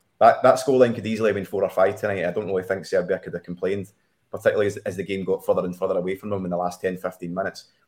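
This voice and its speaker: A man with a Scottish accent, very fast pace, fairly low pitch and fairly even intonation. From Scotland. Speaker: soccer betting analyst. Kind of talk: sports betting discussion show.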